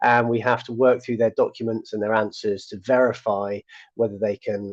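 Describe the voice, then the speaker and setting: Recorded dry and close with no echo, a man with a British accent speaks at a fairly quick pace. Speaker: people manager, conversation host. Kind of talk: live online conversation. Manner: casual, filler-heavy.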